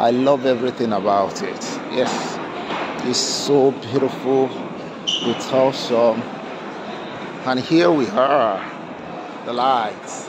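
A man talks very slowly, with long, frequent pauses, and there is noticeable background noise. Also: ordinary pitch variation. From Africa. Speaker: travel vlogger. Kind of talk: vlog walkabout narration. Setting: outdoors at a Christmas market. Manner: animated. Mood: joyful, amazed. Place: street. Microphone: phone near.

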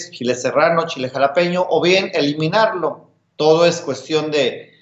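Against a quiet background with audible room echo, a man speaks at a fairly slow pace with a high pitch. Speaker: guest. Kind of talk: interview answer. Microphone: video call.

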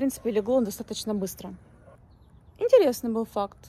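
A woman talks with ordinary pitch variation. The sound is dry with no echo. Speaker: vlogger. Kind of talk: casual vlog chat. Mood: relaxed, chatty. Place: street. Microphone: phone near.

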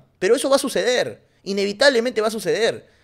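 Very fast, animated delivery against a quiet background. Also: man. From Peru. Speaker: streamer and football commentator. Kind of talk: casual livestream commentary. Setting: livestream. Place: home room. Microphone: studio mic.

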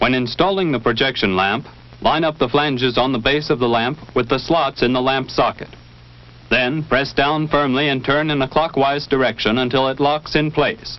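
A man with a plain, everyday voice, at a moderate pace, very even loudness and ordinary pitch variation. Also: medium pitch for a man. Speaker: military training film narrator. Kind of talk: vintage training film narration. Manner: formal, measured, authoritative; steady, even-paced, impersonal.

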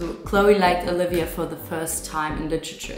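Background noise is noticeable throughout. Words come at a fairly quick pace. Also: woman. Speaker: vlogger. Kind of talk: casual vlog chat. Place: kitchen. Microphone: phone near.

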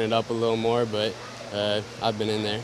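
Over noticeable background noise, a man speaks at a fairly quick pace. The sound is dry, with no echo. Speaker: interviewee. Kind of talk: interview answer. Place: street. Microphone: handheld.

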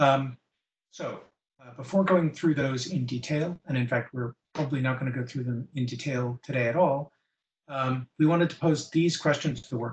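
A man's somewhat breathy voice at a moderate pace, fairly even in intonation, with big swings in loudness. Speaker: internet standards engineer presenting. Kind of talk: technical presentation. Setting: video call. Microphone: video call.

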